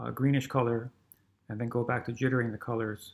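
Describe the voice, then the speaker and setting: Mumbling at a fairly quick pace, a man talks in a somewhat breathy voice of medium pitch. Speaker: programming teacher. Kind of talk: tutorial.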